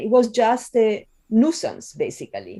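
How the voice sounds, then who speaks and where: A woman with an Italian accent has a dark, mellow tone at a fairly high pitch, on a very clean recording with a silent background. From Italy. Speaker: film professor and video essayist. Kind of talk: podcast interview.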